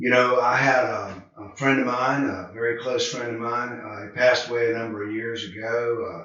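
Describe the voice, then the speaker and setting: This man speaks with a Southern US accent and fairly even intonation. His loudness swings a lot. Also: medium pitch for a man, moderate pace. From US South, Charlotte, North Carolina. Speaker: addiction treatment counselor. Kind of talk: video talk to camera. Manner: relaxed, conversational with fillers.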